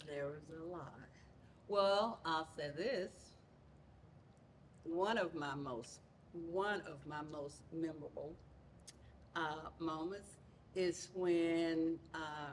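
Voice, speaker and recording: Speaking in a Southern US accent, a woman talks at a very slow pace, with a fairly low pitch, ordinary pitch variation and long, frequent pauses. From Louisiana. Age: 70s. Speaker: church member. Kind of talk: interview.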